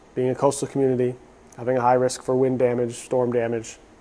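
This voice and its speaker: A man's medium-pitched voice, dark and mellow in tone, at a very fast pace with flat, monotone intonation. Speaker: podcast host, loan officer. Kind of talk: solo podcast explainer. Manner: casual, conversational.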